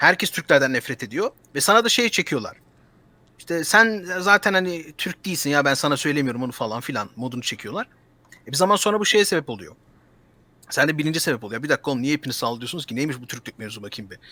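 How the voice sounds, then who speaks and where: A man with a bright, sharp tone at a very fast pace, very wide pitch swings and big swings in loudness. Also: fairly high pitch for a man. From Germany, Turkish diaspora. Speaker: political commentator. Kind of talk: casual chat.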